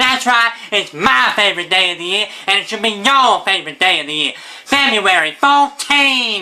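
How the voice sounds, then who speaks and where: Using a put-on character voice, a man talks in a raised, projected voice at a high pitch with lively intonation over light background noise. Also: moderate pace. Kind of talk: comedy sketch. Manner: upbeat, excited.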